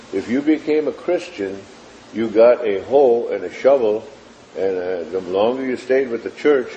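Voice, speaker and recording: Noticeable background noise sits behind a man speaking at a moderate pace. His pitch is medium and his intonation lively. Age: 70s. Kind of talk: interview testimony. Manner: halting, with frequent fillers.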